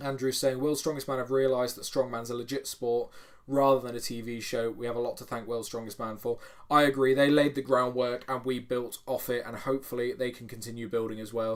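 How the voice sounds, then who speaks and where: Speaking at a fairly quick pace, a man keeps a medium pitch and a flat, monotone intonation despite big swings in loudness. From United Kingdom. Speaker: strongman YouTuber. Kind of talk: livestream chat reading comments. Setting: home bedroom livestream. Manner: casual, filler-heavy.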